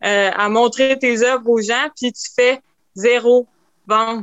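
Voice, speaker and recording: This woman speaks with a Quebec accent at a very slow pace. Her pitch is high. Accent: Québécois French. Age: 20s. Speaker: painter. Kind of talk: interview testimony. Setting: remote recording.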